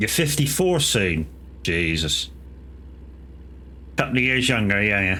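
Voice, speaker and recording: A man talks at a fairly slow pace in a fairly low pitch, with very wide pitch swings but very even loudness. Long, frequent pauses break his speech, and the room echo is audible. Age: 40s. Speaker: gaming streamer. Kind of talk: casual chat. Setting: live stream.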